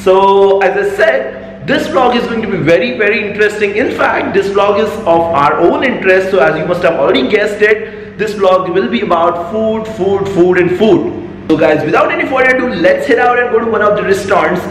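A man at a fairly quick pace with hardly any pauses, audible room echo and light background noise. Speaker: food vlogger. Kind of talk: casual vlog chat. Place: home room. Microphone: phone near.

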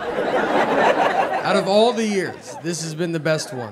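With crowd noise in the background, a man with an American accent speaks very slowly, his intonation lively. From Nashville, Tennessee. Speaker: stand-up comedian. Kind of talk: stand-up comedy bit. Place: stage. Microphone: handheld.

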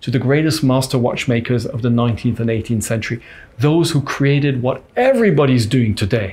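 A man speaks at medium pitch, somewhat breathy. His pitch varies in an ordinary way. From Switzerland. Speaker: watch brand founder and CEO. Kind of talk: interview. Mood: calm, reflective storytelling. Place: meeting room. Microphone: lapel.

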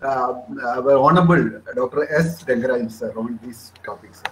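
A man speaks at a fairly slow pace while light background noise plays underneath. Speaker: webinar organizer host. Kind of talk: formal webinar hosting. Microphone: video call.

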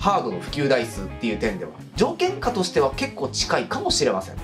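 A man is speaking. Music plays in the background. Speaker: game commentary creator. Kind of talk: commentary. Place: home room.

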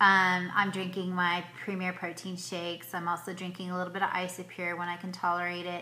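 Against light background noise, a woman speaks at a fairly quick pace in a bright, sharp tone with monotone, flat intonation. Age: 40s. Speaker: vlogger. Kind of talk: video diary. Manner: hesitant, many fillers. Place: home room. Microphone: phone near.

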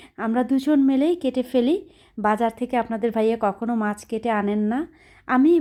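A woman's fairly high, dark and mellow voice with ordinary pitch variation, on a very clean recording with a silent background. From Bangladesh, Khulna. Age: 30s. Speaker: lifestyle vlogger. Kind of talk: home vlog narration.

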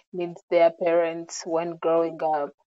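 In a quiet background, a woman speaks with a dark, mellow tone. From Uganda, Central Region; Uganda. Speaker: social worker; interview guest. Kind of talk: interview; interview answer. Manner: hesitant with fillers. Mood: calm, reflective. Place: home room. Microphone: earbuds.

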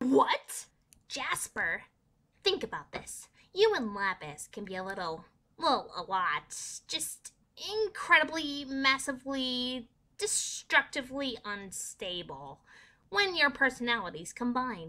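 A female-sounding, put-on character voice, high-pitched with very wide pitch swings, moves at a fairly slow pace with long, frequent pauses on a very clean recording with a silent background. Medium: dub.

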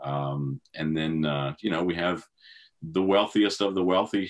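With a Southern US accent, a man talks at a moderate pace with ordinary pitch variation against a quiet background. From US South. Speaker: classic car auction specialist. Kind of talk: interview. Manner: hesitant, many fillers. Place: office. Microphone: video call.

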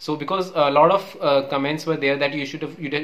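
A man with an Indian accent. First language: Hindi. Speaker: YouTuber; medical student. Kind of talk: casual tutorial. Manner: halting, filler words, repeats 'okay'. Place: home room. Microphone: earbuds.

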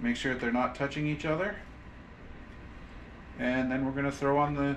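A man talks with fairly even intonation. There is light noise in the background. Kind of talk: tutorial. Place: kitchen.

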